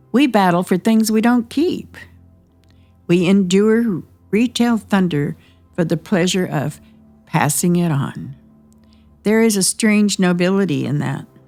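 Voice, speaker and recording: Over music in the background, a woman at a medium pitch speaks at a fairly slow pace with lively intonation and long, frequent pauses. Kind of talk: mock nature documentary narration.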